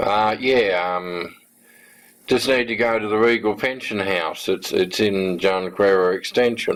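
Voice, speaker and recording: Putting on a character voice in an Australian accent, a man drawls at a fairly slow pace, fairly low in pitch with fairly even intonation. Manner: drawling, casual.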